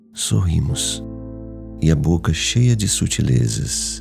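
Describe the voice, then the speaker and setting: A man speaks with a very deep, low pitch. Music plays in the background. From Brazil. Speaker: voice actor. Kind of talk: poetry reading.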